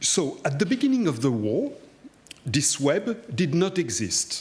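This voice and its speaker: A man with a non-native accent speaks at a fairly slow pace. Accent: foreign. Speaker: historian. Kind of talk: lecture. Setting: cathedral hall with audience. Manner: formal.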